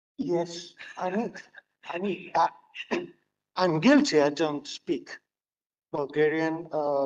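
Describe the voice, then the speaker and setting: Speaking at a very slow pace with long, frequent pauses, a man uses a high pitch with ordinary pitch variation. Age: old. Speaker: drama school director. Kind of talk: conference panel remarks. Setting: conference hall with audience. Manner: halting.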